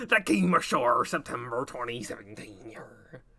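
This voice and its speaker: A man uses a put-on character voice at a medium pitch. His voice is raspy. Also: moderate pace. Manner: stagey, growling 'yar'.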